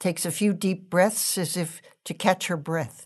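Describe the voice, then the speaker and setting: Against a quiet background, a woman with an unremarkable speaking voice talks fairly slowly at a fairly low pitch with fairly even intonation. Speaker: stage directions reader. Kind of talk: reading stage directions aloud in a play reading.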